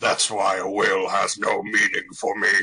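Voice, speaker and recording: A man puts on a character voice. It sounds raspy. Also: moderate pace. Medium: game stream. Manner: theatrical, ranting.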